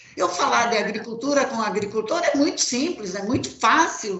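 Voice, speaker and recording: Lively in intonation, a woman with a high pitch speaks amid audible room echo and noticeable background noise. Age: 60s. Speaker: farmer. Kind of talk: panel discussion.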